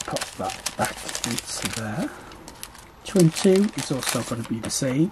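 Noticeable background noise behind a man speaking at a fairly slow pace. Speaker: budgeting vlogger. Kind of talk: tutorial.

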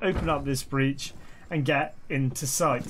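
A man with a British accent at a moderate pace, noticeable background noise behind him. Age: 30s. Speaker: gaming YouTuber. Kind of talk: tutorial. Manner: casual.

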